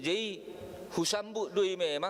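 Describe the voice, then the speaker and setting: A man with a North Sumatran accent speaks at a fairly slow pace. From North Sumatra, Batak homeland. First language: Batak Toba (speaking Indonesian). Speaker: preacher. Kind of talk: sermon.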